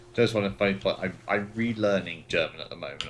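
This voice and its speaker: A man at a fairly quick pace, over noticeable background noise. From Britain. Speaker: gaming livestreamer. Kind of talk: casual chat. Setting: livestream.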